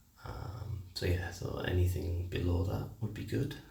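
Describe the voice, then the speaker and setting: A man with a British accent speaks quietly at a very slow pace, his dark, mellow tone carrying vocal fry amid audible room echo. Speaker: fitness vlogger. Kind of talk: casual vlog monologue. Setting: at home. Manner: halting.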